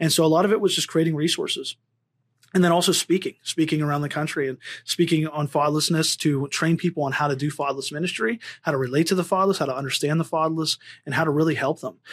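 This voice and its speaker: In a very clean recording with a silent background and a dry, close sound with no echo, a man with a fairly high pitch talks very fast. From Pennsylvania. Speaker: ministry leader for the fatherless. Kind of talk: testimony. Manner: halting.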